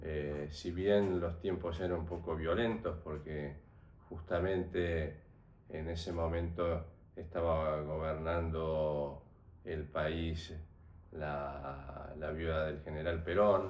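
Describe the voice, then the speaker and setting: A man's very deep, low voice in a Rioplatense accent, very slow and monotone, with audible room echo and noticeable background noise. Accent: Argentine Rioplatense Spanish. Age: 70s. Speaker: retired doctor, dictatorship witness. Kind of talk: interview testimony. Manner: halting, with fillers.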